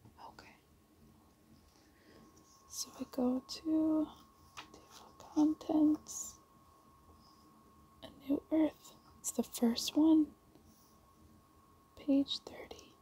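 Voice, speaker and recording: The voice is soft-spoken, with a gentle, relaxed tone and a very slow pace. Long, frequent pauses come through a dry sound with no echo. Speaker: ASMR creator. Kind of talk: ASMR show and tell, casual talk to camera. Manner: soft-spoken, gentle, relaxed. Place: home room. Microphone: phone near.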